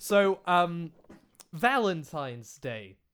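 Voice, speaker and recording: In a very clean recording with a silent background, a man with a British accent talks in a high-pitched, animated tone. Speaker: podcast host and video creator. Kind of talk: casual chat. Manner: animated, profane.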